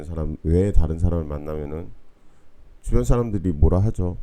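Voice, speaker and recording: A man's dark, mellow voice at a fairly quick pace, with audible room echo. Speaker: university lecturer. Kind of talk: online lecture. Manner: casual, conversational.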